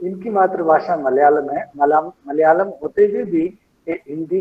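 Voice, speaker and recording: A man's fairly high-pitched voice with a Kannada accent. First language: Kannada (speaking Hindi). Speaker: lecture series moderator. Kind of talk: speaker introduction. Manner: halting, with fillers.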